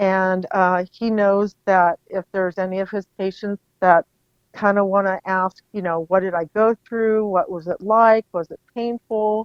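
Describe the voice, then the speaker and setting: A woman with a plain, everyday voice speaks at a fairly slow pace, using a medium pitch and fairly even intonation. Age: 60s. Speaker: facial paralysis patient. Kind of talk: interview. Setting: podcast.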